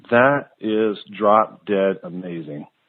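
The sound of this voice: A man talks at a slow pace with a fairly low pitch. His pitch variation is ordinary.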